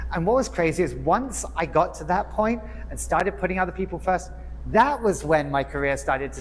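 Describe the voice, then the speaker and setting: A man with an English accent over noticeable background noise. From England, Hertfordshire. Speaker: nonprofit executive and club speaker. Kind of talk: prepared speech. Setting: club meeting with audience.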